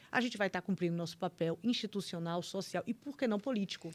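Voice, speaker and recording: A woman with a Bahian accent talks with ordinary pitch variation on a very clean recording over a silent background. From Bahia, Brazil. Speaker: public prosecutor. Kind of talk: casual chat.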